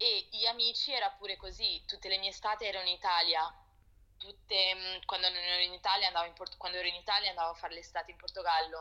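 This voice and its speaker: A woman talks very fast at a medium pitch. Her intonation is fairly even, with noticeable background noise. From Italy and Portugal, moved often, later London. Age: 20s. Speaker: fashion producer. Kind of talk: casual interview chat. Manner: halting.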